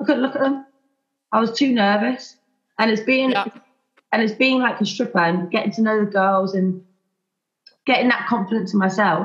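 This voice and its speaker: A somewhat breathy woman at fairly high pitch, moderate pace, ordinary pitch variation, very even loudness, and long, frequent pauses. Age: 20s. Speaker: teacher. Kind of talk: casual chat.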